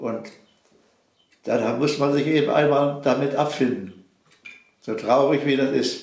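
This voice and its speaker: A man is speaking. His pace is very slow. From Silesia. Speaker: contemporary witness, farmer and mechanical engineer. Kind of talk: interview answer.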